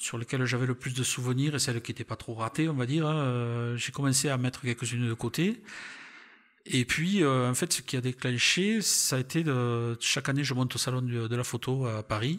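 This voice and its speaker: Speech comes in a southern French accent at a moderate pace. The recording is very clean, with a silent background. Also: man, medium pitch for a man, ordinary pitch variation. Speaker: retired railway worker and travel photographer. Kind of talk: interview conversation. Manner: hesitant, many fillers.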